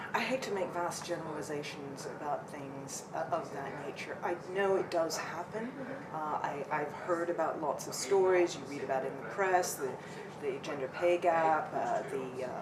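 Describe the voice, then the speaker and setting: A woman with a fairly low voice speaks at a moderate pace with ordinary pitch variation, amid noticeable background noise and audible room echo. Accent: American. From North America. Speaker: senior property services executive. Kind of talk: interview. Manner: hesitant, many fillers.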